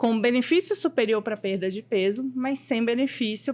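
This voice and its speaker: A woman speaks at a moderate pace in a fairly high pitch, with ordinary pitch variation and an ordinary speaking voice. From Goiás, Brazil (Anápolis). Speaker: endocrinologist. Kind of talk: interview.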